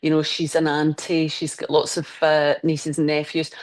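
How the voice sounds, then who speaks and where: A woman's very deep, low voice in a Scottish accent, at a very fast pace. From Scotland. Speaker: crime novelist. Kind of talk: interview answer.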